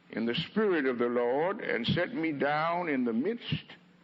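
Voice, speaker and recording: A man with an American accent, fairly slow pace, and noticeable background noise. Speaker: preacher. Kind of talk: sermon delivered to a congregation. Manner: eloquent, slow, impassioned.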